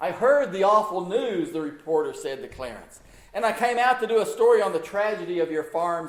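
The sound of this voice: What we hear is an unforced reading voice.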